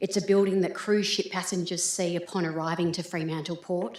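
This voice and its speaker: With an Australian accent, a woman talks fairly quickly in a fairly low, monotone voice with flat intonation. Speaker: business chamber representative. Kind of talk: public submission at council meeting. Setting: council chamber. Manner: formal.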